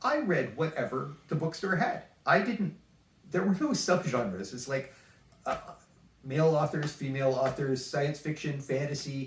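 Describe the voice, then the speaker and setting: A fairly high male voice at a moderate pace with lively intonation, over noticeable background noise. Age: 60s. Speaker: author and podcast co-host. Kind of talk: casual chat.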